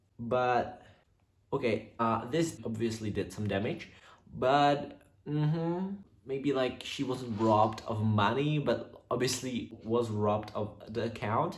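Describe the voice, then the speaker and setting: The speaker has a non-native accent and a somewhat breathy voice, moving at a very slow pace with ordinary pitch variation. Audible room echo surrounds the voice. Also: man. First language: not English. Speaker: YouTuber reading viewer stories. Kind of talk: reading aloud with casual commentary. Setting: on camera, home recording. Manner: halting, many fillers.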